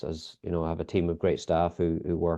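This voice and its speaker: In a Northern Irish accent, a man talks very fast with a very deep, low pitch. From Northern Ireland. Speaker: sports biomechanics lead. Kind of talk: podcast interview. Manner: hesitant, many fillers.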